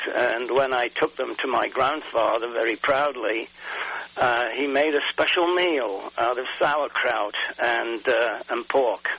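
A man with an English accent at a very slow pace, with noticeable background noise. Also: medium pitch for a man, ordinary pitch variation. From England. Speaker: garden writer and photographer. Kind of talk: interview.

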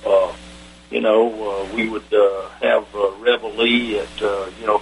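A man is heard with noticeable background noise behind him. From US South, Atlanta. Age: 70s. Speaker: retired army general, veteran. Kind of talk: interview, recounting war stories.

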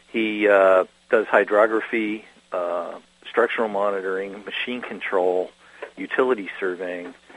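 Pausing long and often, a man speaks at a moderate pace with fairly even intonation and big swings in loudness over noticeable background noise. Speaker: geospatial magazine writer. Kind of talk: radio interview.

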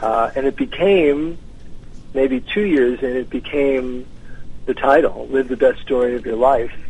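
This man has a plain, everyday voice with an American accent. His medium pitch shows ordinary variation, and his pace is fairly slow. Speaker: author and tennis champion. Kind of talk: radio interview. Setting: phone call.

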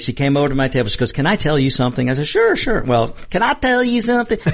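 Lively intonation at a very fast pace amid noticeable background noise. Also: man. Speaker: co-host. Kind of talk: casual banter. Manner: jokey, laughing, storytelling.

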